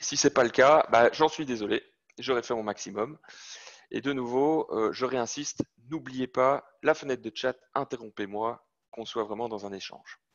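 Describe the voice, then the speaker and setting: Speaking with a Belgian accent, a man of medium pitch talks at a moderate pace with ordinary pitch variation. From Belgium. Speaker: sales manager presenting to students. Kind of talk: technical lecture. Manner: hesitant, many fillers.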